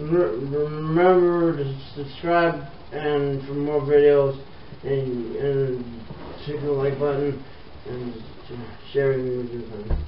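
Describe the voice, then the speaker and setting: Room echo and light background noise surround a man speaking at a very slow pace. He leaves long, frequent pauses, and his intonation is fairly even. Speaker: carpet fitter vlogger. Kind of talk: casual vlog chat. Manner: slurred, stumbling drunken speech. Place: empty room. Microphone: phone near.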